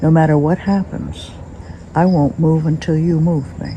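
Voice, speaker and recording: Speaking with an American accent at a moderate pace, a woman uses a very deep, low pitch and monotone, flat intonation over noticeable background noise. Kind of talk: testimony.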